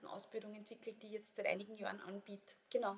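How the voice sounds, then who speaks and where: This woman has an Austrian accent. She talks at a very fast pace. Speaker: yoga teacher and author. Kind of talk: casual interview. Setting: studio.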